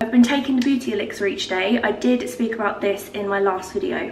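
A woman speaks at a moderate pace with audible room echo and light background noise. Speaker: lifestyle vlogger. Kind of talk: casual vlog chat, sponsored product talk. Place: kitchen. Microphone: camera far.

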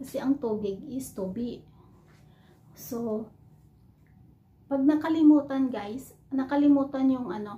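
Her voice high, a woman speaks at a fairly slow pace with long, frequent pauses, ordinary pitch variation and big swings in loudness. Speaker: overseas Filipino worker vlogger. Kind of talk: casual vlog, teaching words to camera. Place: home room. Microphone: phone near.

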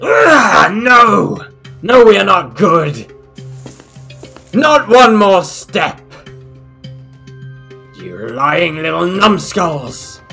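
Faint music sits in the background of a cartoonish character voice at middle pitch, spoken very slowly. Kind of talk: cartoon villain acting. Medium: audio drama. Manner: furious, shouting, imperious.

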